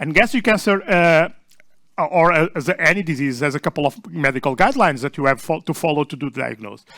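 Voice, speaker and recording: On a very clean recording with a silent background, a man speaks with a Portuguese accent. His tone is bright and sharp, his intonation lively and his pace fairly quick. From Portugal. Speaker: session chair and research group leader. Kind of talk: conference talk. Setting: small conference room with audience. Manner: halting, many fillers and restarts.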